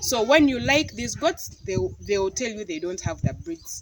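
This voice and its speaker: The speaker has a Ugandan accent. Noticeable background noise runs underneath. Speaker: goat farmer and vlogger. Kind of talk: casual vlog talk to camera. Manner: halting, repeats words.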